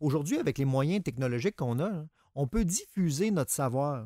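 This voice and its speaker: A man with a fairly high voice and a plain, everyday voice speaks at a moderate pace with lively intonation, the sound dry with no echo against a quiet background. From Quebec. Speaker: psychologist co-host. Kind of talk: radio call-in advice show. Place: studio.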